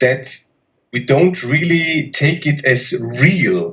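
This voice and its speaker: A man with a German accent speaks in a fairly high pitch, his voice somewhat breathy. His intonation is lively. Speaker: polyglot YouTuber. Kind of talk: interview. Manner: hesitant, many fillers.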